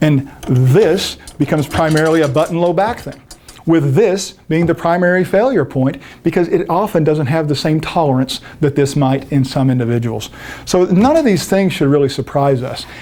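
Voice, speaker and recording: Noticeable background noise runs under this recording. A man speaks with a fairly high pitch and ordinary pitch variation. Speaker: fitness instructor. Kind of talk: lecture. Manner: fast.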